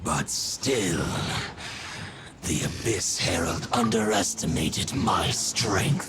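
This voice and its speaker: A man's put-on character voice at a very slow pace, amid loud background noise. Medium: machinima. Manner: archaic, grave, measured.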